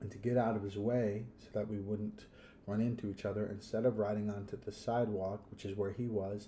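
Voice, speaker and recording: Speaking at a fairly quick pace, a man with a fairly low pitch and a dark, mellow tone sounds somewhat breathy, his intonation monotone and flat. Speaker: podcast host. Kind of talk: casual podcast monologue. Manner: hesitant, many fillers.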